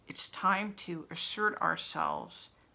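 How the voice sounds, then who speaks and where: With vocal fry running through her speech, a woman uses lively intonation. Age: 60s. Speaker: spiritual coach and vlogger. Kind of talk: personal vlog monologue. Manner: animated.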